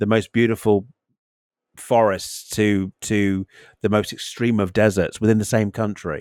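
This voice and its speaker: With a British accent, a man talks fairly slowly at a fairly low pitch, the sound dry and close with no echo. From UK. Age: 50s. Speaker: podcast co-host. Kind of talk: casual chat. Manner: halting, many repeated words.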